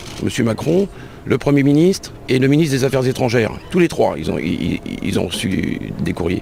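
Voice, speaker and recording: A man at a medium pitch, moderate pace and very wide pitch swings, with noticeable background noise. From France, Le Mans. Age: 60s. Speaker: released prisoner. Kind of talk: testimony.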